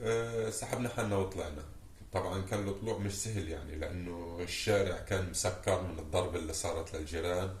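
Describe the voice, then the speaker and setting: At a moderate pace and with fairly even intonation, a man with a very deep, low pitch is heard through audible room echo and noticeable background noise. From Gaza, Palestine. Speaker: war survivor. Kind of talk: testimony.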